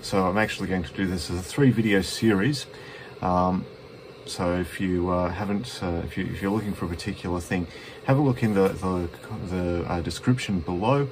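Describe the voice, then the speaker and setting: Over noticeable background noise, a man with an Australian accent speaks with a very deep, low pitch and ordinary pitch variation. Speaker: betting software presenter; presenter. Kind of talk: tutorial. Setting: at home, cold room. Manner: halting, stuttering. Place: home room. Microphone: phone near.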